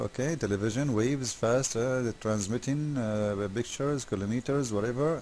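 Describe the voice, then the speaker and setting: Delivered at a moderate pace with ordinary pitch variation, the voice has an Arabic accent and a dark, mellow tone. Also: man. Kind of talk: commentary video critiquing a website. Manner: animated, mocking; halting, many fillers.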